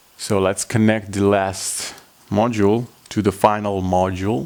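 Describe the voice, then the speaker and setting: Here a man speaks with a fairly low pitch. His pace is fairly slow and his intonation fairly even. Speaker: origami tutorial maker. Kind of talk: tutorial. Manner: halting.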